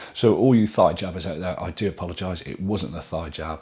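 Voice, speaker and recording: A man with a British accent speaks at a very deep, low pitch. His voice is somewhat breathy. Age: middle-aged. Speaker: YouTuber vlogging a weight loss journey. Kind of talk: casual vlog with viewer Q&A. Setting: at home in dining room, to camera.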